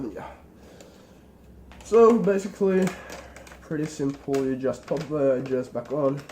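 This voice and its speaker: A fairly slow delivery against noticeable background noise. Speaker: tech tutorial maker. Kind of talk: tutorial. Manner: casual.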